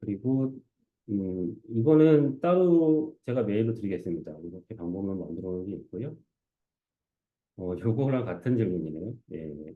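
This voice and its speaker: With very wide pitch swings and big swings in loudness, a man speaks at a fairly low pitch, leaving long, frequent pauses. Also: moderate pace. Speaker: conference speaker, research engineer. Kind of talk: conference talk Q&A. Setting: stage with audience.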